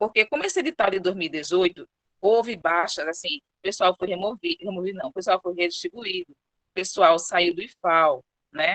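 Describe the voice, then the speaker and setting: Her medium-pitched voice shows ordinary pitch variation and big swings in loudness as the woman speaks with a dry, close sound and no echo. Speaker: public servant presenting HR procedures. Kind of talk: online presentation / briefing. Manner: fast.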